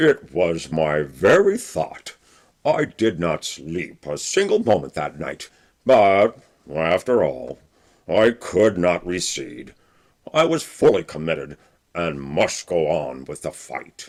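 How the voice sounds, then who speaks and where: A man speaks at a fairly slow pace. His voice is very deep and low. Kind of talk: classic humorous first-person storytelling. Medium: read story. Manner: wry, earnest.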